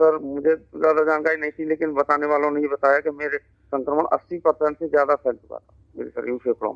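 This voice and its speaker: The speaker is a man with monotone, flat intonation. He keeps a moderate pace. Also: fairly high pitch for a man, dry, close sound with no echo. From Sambhal district, Uttar Pradesh, India. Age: 40s. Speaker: schoolteacher, COVID survivor. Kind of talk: interview testimony. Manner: halting.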